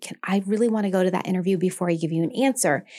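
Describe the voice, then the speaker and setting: A woman's medium-pitched, animated voice with an American accent, ordinary pitch variation and a very fast pace. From Maine, US (South Portland). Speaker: nurse anesthetist and yoga instructor. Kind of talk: interview.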